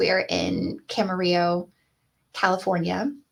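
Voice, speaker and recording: A woman speaks with an American accent at a medium pitch. Vocal fry runs through her voice. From US Midwest. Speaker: college educator, presenter. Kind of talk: conference presentation.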